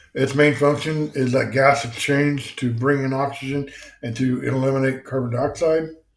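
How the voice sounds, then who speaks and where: A man's fairly high-pitched voice comes through with audible room echo. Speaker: EMS instructor. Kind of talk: lecture. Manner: casual, many fillers.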